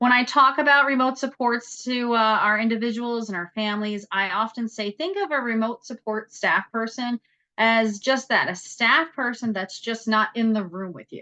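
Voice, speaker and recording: Speaking with an American accent in a bright, sharp tone and a fairly high pitch, a woman uses ordinary pitch variation and big swings in loudness, with hardly any pauses. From New York. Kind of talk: presentation. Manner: fast.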